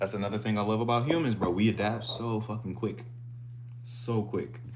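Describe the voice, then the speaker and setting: Amid noticeable background noise and audible room echo, a man talks at a fairly quick pace in an animated tone. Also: medium pitch for a man. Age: 20s. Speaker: fitness streamer. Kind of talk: casual live stream chat.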